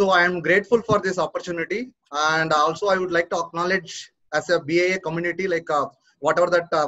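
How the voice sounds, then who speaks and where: A man with a high pitch and fairly even intonation talks at a fairly quick pace against a quiet background. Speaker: webinar presenter. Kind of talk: presentation. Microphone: video call.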